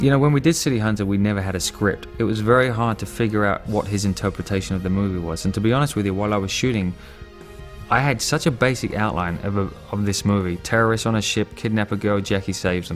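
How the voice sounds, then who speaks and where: With music in the background, a man with an English accent speaks very fast at a fairly low pitch with ordinary pitch variation. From England. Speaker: actor and martial artist. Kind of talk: interview answer. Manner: casual.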